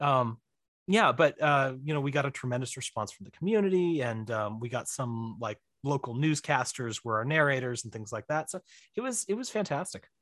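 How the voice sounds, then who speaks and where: A man with an American accent and a normal speaking voice, medium-pitched, with lively intonation, a fairly quick pace and a dry, close sound with no echo. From Missouri. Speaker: writer and director. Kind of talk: casual chat. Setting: home office in basement.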